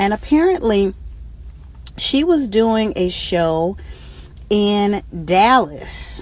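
Very slow speech broken by long, frequent pauses, over noticeable background noise. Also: woman. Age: 40s. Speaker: radio host. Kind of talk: casual chat. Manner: halting.

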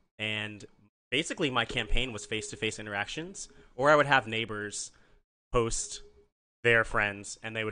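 A man with an American accent talks at a moderate pace and medium pitch, with ordinary pitch variation. His tone is bright and sharp, and the background is quiet. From Nebraska. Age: 30s. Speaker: podcaster and activist, city council member. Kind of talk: casual chat. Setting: in the host's apartment.

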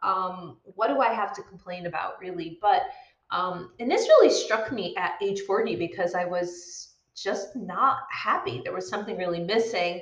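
Medium pitch, ordinary pitch variation and a moderate pace in a woman's ordinary speaking voice. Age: 40s. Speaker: midlife coach and podcast host. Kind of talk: casual solo talk to camera. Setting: live video stream.

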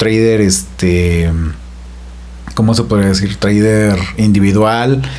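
A man's voice carries audible room echo. Noticeable background noise sits behind him. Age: 30s. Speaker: podcast guest. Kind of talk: casual interview.

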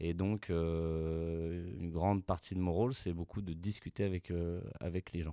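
Over a very clean recording with a silent background, a man speaks at a fairly slow pace in a very deep, low pitch with fairly even intonation. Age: 30s. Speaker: bakery business owner. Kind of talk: interview conversation.

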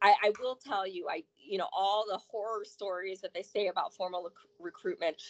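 A woman speaks at a fairly quick pace in an ordinary speaking voice, her pitch medium with ordinary variation. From Florida east coast (Port St. Lucie), born in Chicago. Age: 40s. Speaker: estate planning attorney, sorority alumna adviser. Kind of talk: casual interview chat.

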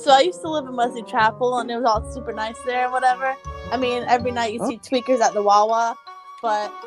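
Music plays behind a woman speaking very fast in an American accent. Her pitch is high, with ordinary variation. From Tampa, Florida area. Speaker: podcast guest; convenience store clerk. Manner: casual, laid-back.

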